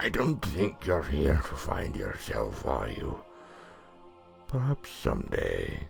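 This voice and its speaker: Over clear music in the background, a man uses a put-on character voice at a fairly slow pace. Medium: read story. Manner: cheeky, knowing.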